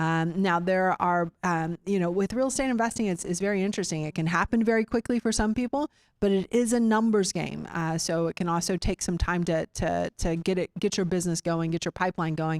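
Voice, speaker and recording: Talking at a fairly quick pace with hardly any pauses, a woman with a Texan accent uses a medium pitch, and the sound is dry and close with no echo. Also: ordinary pitch variation. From Austin, Central Texas. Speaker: real estate investor meeting host. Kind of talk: meeting presentation. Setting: room with live audience. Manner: halting, many fillers.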